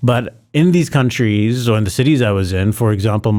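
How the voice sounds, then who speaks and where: Speaking at a fairly quick pace, a man with an American accent has a fairly low pitch and a dark, mellow tone. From international, mixed (American schools abroad). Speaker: startup founder, ex-investment banker. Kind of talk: podcast interview. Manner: many fillers and restarts.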